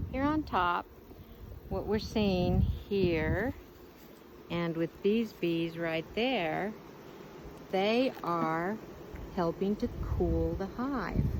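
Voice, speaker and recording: A quiet woman at fairly low pitch, very slow pace with long, frequent pauses, ordinary pitch variation. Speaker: beekeeper educator. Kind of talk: children's educational program. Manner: talking quietly.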